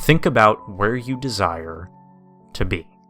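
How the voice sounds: A man uses a put-on, robotic character voice that is booming and fairly low in pitch. He speaks at a fairly slow pace over faint music in the background.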